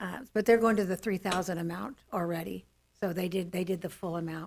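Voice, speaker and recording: At a moderate pace, a woman talks at medium pitch with fairly even intonation and vocal fry. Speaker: school board member. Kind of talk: board meeting discussion. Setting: public board meeting. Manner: loud.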